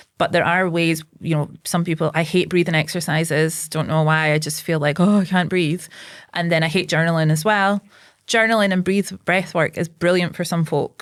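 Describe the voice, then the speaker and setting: In a Scottish accent, a woman speaks at a fairly low pitch and a moderate pace, her intonation monotone and flat and her loudness very even, in a very clean recording with a silent background. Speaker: psychotherapist and local politician. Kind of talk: casual chat. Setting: podcast interview.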